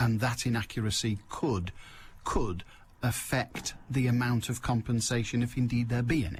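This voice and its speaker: A man with a Mancunian accent and a somewhat breathy, medium-pitched voice speaks at a moderate pace with fairly even intonation. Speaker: radio phone-in host. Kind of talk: radio phone-in chat. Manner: brisk, pushing callers along.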